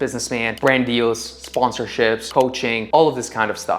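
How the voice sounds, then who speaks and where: Someone with a non-native accent speaks at a moderate pace over noticeable background noise. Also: man. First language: not English. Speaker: content creator. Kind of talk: motivational talk to camera.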